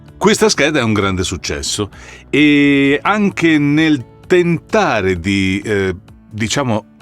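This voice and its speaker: A man speaks at a very slow pace with very wide pitch swings. Music plays in the background. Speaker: voice actor. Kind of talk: casual talk to camera. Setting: studio.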